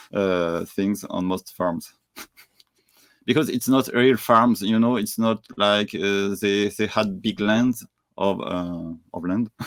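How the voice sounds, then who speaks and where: Speaking very slowly in a French accent, a man keeps his fairly low voice at a fairly even intonation. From France. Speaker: entrepreneur and traveler. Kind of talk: interview conversation. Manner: halting, many fillers.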